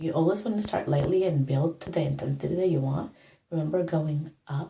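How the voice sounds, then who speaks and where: The voice is soft-spoken. Its intonation is fairly even. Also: woman. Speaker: makeup tutorial vlogger. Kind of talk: tutorial. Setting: home bathroom. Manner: soft-spoken, lowered voice.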